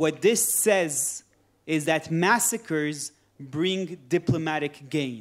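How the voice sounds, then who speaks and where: Someone with a French accent speaks at a very slow pace with ordinary pitch variation. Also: man, fairly high pitch for a man. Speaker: politician. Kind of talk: panel discussion. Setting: conference with audience.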